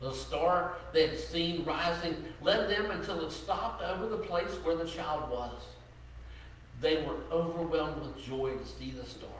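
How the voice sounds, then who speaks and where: A man's voice at a fairly slow pace, with audible room echo and light background noise. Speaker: pastor. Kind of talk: sermon. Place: church.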